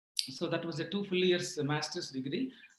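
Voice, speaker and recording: This man speaks with a Telugu accent at a fairly quick pace. His pitch is high, with ordinary variation. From rural Andhra Pradesh / Telangana, India. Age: 60s. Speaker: retired IT executive. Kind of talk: interview.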